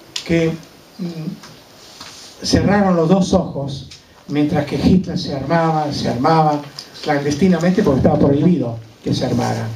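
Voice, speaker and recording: Over noticeable background noise and audible room echo, a man speaks fairly slowly at a fairly high pitch with ordinary pitch variation. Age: 80s+. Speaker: Holocaust survivor speaker. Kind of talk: testimony. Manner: halting.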